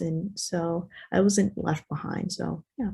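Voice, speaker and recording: In a Spanish accent, a woman talks at a fairly slow pace with a fairly low pitch, a dark, mellow tone, a somewhat breathy quality and ordinary pitch variation. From United States, child of Guatemalan immigrants. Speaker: panelist. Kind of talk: casual chat. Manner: halting.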